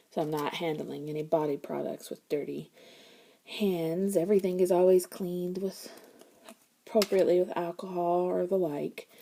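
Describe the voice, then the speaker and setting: A woman talks at a moderate pace with a fairly low pitch and a dark, mellow tone. Her intonation is monotone and flat. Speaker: crafter demonstrating homemade lotion bars. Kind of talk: casual tutorial / show-and-tell. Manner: halting, with many fillers.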